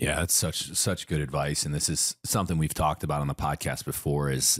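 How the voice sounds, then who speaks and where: A man speaks in a very deep, low voice at a moderate pace. His intonation is monotone and flat, and the sound is dry and close with no echo. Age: 30s. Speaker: podcast host. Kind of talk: casual interview chat.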